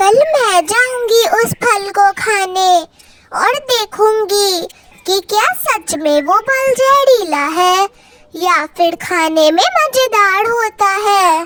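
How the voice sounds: A squeaky, female-sounding cartoonish character voice speaks at a very slow pace with an extremely high pitch.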